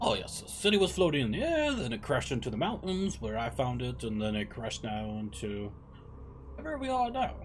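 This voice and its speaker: Over clear background noise, a man uses a put-on character voice at a fairly quick pace. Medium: actual play. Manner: hesitant, rambling.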